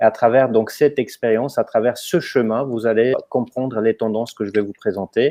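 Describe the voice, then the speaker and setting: A man is speaking. He has a slight non-native accent and fairly even intonation. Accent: slight foreign. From Romania, then Germany from age 14. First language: Romanian (speaking French). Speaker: company co-founder, presenter. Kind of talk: webinar presentation. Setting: online webinar.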